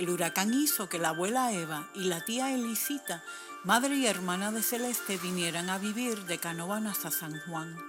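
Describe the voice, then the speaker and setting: At a moderate pace and a medium pitch, a woman talks with lively intonation while music plays in the background. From Puerto Rico. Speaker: storyteller. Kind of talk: read story.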